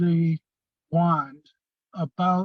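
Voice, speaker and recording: A man's high-pitched voice in a dry, close sound with no echo. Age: 60s. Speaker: product user giving testimony. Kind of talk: testimony. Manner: halting, many fillers.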